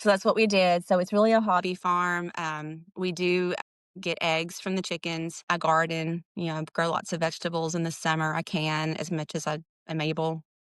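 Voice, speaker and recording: A Southern US accent comes through at a moderate pace, flat and monotone, in a dry, close recording with no echo. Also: woman, fairly low pitch for a woman. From Texas, small town. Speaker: writer and hobby farmer. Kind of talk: podcast interview. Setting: remote recording.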